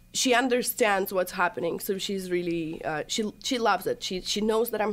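This woman speaks in a Russian accent at a moderate pace. Her pitch varies in an ordinary way. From Russia, Chelyabinsk. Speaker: social media influencer. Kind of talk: casual chat. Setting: studio.

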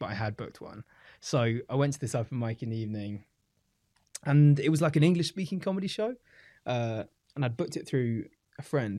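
A British-accented man speaks at a medium pitch with lively intonation, recorded very cleanly against a silent background. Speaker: stand-up comedian. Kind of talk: casual chat.

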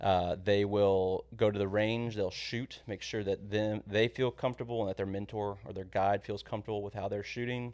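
A man's fairly low, monotone voice in a Texan accent, flat in intonation, at a moderate pace with hardly any pauses, on a very clean recording against a silent background. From Texas (San Antonio). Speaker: hunting program coordinator. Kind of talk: podcast interview. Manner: hesitant with fillers.

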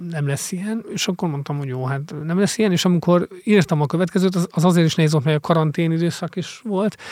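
A high-pitched male voice, dry and close with no echo, on a very clean recording with a silent background. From Hungary, Mór (Fejér county). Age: 40s. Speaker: investigative journalist and author. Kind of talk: interview. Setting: studio. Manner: halting, many fillers.

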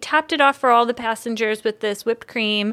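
A woman speaks in a raised, projected voice. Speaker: podcast host and coffee company operations manager. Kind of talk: casual chat.

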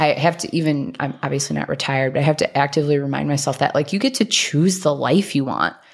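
With noticeable background noise, a woman with a very deep, low pitch talks at a very fast pace with ordinary pitch variation. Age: 30s. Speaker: marketing head, podcast co-host. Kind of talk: casual chat.

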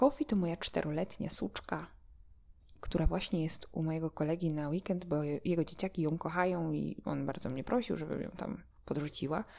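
Her voice is fairly low with a dark, mellow tone. The woman talks at a fairly quick pace with ordinary pitch variation. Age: 20s. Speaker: dog trainer and podcaster. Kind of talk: solo monologue podcast. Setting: at home. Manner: hesitant, with repeated words.

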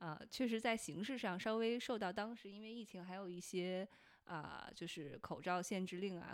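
Talking at a moderate speed, a woman has an unremarkable speaking voice and ordinary pitch variation. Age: 30s. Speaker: podcast host. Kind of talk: casual chat.

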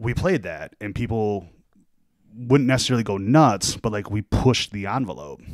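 Using a plain, everyday voice, a man speaks at a fairly low pitch and a moderate pace, with lively intonation and big swings in loudness. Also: very clean recording, silent background. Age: 40s. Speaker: DJ. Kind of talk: casual chat.

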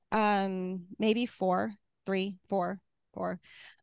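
In a US Midwestern accent, a woman talks at medium pitch, the sound dry and close with no echo against a quiet background. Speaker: retired air force officer and tech executive. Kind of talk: talk with Q&A.

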